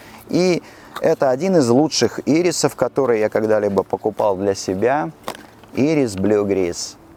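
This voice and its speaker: Speaking at a fairly slow pace and medium pitch, a man uses very wide pitch swings and very even loudness, the sound dry and close with no echo but with noticeable background noise. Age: 50s. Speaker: perfume store host. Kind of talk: casual monologue on camera. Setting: outdoors on a city street.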